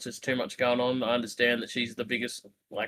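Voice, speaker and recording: Speaking at a very fast pace, a man has an Australian accent. His medium-pitched voice has a bright, sharp tone. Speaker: wrestling podcast co-host. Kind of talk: casual chat.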